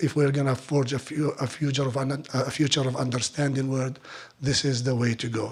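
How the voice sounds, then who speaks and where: Over noticeable background noise, a man of medium pitch speaks fairly quickly in a monotone, flat intonation. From Palestine. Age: 50s. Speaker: olive oil producer. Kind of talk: speech at fundraiser. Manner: halting.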